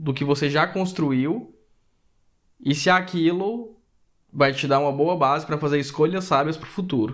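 A man's fairly high voice, with ordinary pitch variation, comes through a very clean recording with a silent background. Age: 30s. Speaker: podcast co-host. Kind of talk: casual chat.

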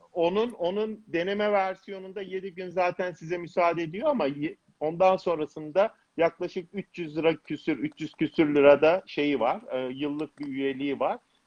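Fairly slowly and with ordinary pitch variation, a man speaks in a high voice. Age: 50s. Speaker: cardiovascular surgeon. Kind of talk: casual chat.

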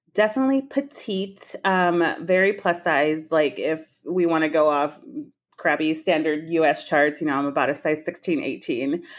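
With an American accent, a woman with a plain, everyday voice speaks at a moderate pace, her fairly low pitch carried by lively intonation over a quiet background. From Texas. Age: 30s. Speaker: model. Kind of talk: casual chat.

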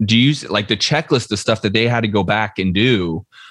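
Medium in pitch, a man talks at a fairly quick pace with ordinary pitch variation. The background is quiet. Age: 30s. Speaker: real estate investor and coach. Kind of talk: podcast interview. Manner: animated.

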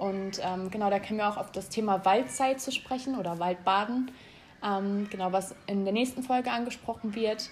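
A woman at a medium pitch and moderate pace, with ordinary pitch variation and noticeable background noise. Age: 20s. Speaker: podcast co-host, interior design student. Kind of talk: casual chat. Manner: hesitant, many fillers.

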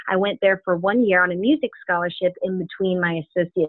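A woman speaks in an American accent. Her pace is very fast. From Florida, Tallahassee. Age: 20s. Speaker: pastor's daughter and graphic designer. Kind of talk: interview. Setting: phone call.

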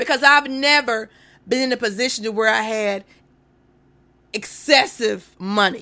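The voice is loud with a bright, sharp tone. Its pace is moderate and its pitch variation ordinary. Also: woman. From North Carolina. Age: 40s. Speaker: podcast host. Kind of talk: casual solo livestream talk. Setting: Facebook live stream.

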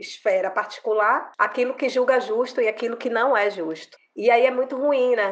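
A woman speaks at a moderate pace and a fairly high pitch. Hers is a plain, everyday voice. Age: 40s. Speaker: lawyer. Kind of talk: interview.

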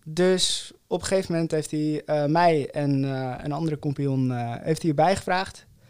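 Hardly pausing at all, the speaker moves at a fairly slow pace with fairly even intonation. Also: man, fairly high pitch for a man. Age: 20s. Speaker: co-founder of a sustainable oral care brand. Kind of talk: interview. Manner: halting, many fillers.

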